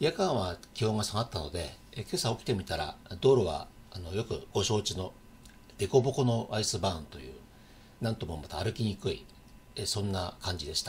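Somewhat breathy speech at a moderate pace comes with long, frequent pauses over light background noise. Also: man, fairly low pitch for a man. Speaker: local channel host. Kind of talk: casual news vlog chat. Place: home room. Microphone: webcam.

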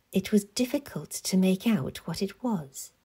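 A somewhat breathy woman at a fairly slow pace, on a very clean recording with a silent background. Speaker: author reading own novel. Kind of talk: audiobook reading.

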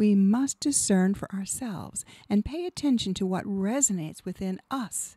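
Somewhat breathy and dark, mellow in tone, a woman of medium pitch speaks with ordinary pitch variation in a dry sound with no echo over a quiet background. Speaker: radio show host and hypnotherapist; radio show host. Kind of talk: scripted monologue. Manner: polished, rehearsed. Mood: calm, warm, inspirational. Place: studio. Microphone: studio mic.

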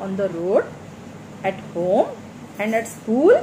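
A woman speaks very slowly against noticeable background noise. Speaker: primary school teacher. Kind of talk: lecture. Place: home room. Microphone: phone near.

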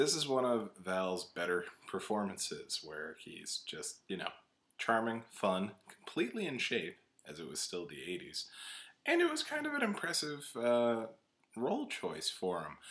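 This man talks at a fairly slow pace. His loudness swings a lot. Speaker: film reviewer. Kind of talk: commentary. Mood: wry, casual. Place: home room.

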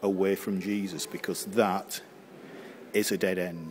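The delivery is fairly slow, with fairly even intonation. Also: man.

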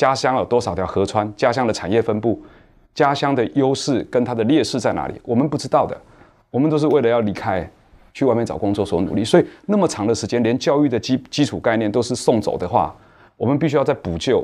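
A man talks very fast with ordinary pitch variation. The background is quiet. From Taiwan, Nantou; Taiwan. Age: 40s. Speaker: cultural entrepreneur; guest. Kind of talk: panel discussion. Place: studio. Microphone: lapel.

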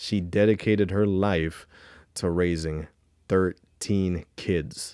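In a dry sound with no echo and a quiet background, a man speaks with a very deep, low pitch and a dark, mellow tone. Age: 30s. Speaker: YouTube commentator. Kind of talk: reaction commentary. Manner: animated. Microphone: studio mic.

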